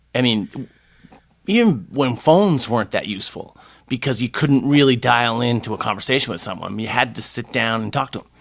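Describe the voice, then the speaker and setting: A man talks at a fairly quick pace in an unremarkable speaking voice of medium pitch. The recording is very clean, with a silent background. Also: ordinary pitch variation. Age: 60s. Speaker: podcast co-host. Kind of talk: casual chat.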